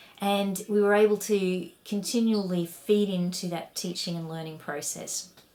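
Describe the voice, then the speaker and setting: With a strong Australian accent, a woman talks at a moderate pace with hardly any pauses, her medium-pitched voice dark and mellow and her loudness swinging widely. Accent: broad Australian. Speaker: education researcher and academic. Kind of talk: recorded conference talk. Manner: animated.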